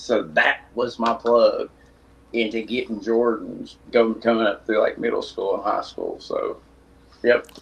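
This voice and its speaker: A man mumbles at a fairly slow pace. He has a Tennessee accent. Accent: extreme Tennessee country. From East Tennessee, Blount County near Knoxville. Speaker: custom shoe artist. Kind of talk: casual chat. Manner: mumbling.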